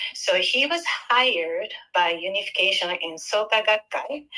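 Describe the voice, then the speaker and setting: At a very slow pace, a woman speaks in a bright, sharp tone. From Japan. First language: Japanese. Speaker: caller. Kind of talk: call-in question. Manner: halting, hesitant.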